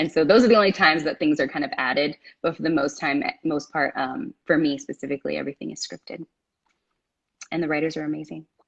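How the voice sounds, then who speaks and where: Vocal fry marks the voice of a woman with a very deep, low pitch. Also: ordinary pitch variation, dry, close sound with no echo. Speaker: actress. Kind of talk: casual chat. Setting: Instagram live stream. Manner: fast; stumbling over words.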